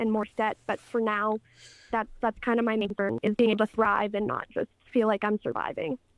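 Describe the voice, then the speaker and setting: An unremarkable speaking voice with a Canadian accent moves at a fairly quick pace. The intonation stays fairly even, and the sound is dry and close with no echo. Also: woman, fairly high pitch for a woman. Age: 20s. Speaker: caller. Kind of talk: call-in opinion.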